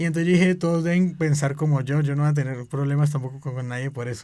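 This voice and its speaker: The speaker is a man. His pitch is fairly high for a man, with fairly even intonation. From Colombia, Cali. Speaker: Bible school student. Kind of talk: podcast testimony conversation.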